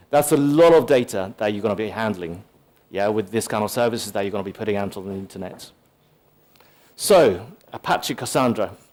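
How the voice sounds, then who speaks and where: Though his pace is fairly quick, a man with a fairly low pitch and ordinary pitch variation leaves long, frequent pauses. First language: Japanese. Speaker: tech conference speaker, solutions architect. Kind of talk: conference talk. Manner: casual, many filler words.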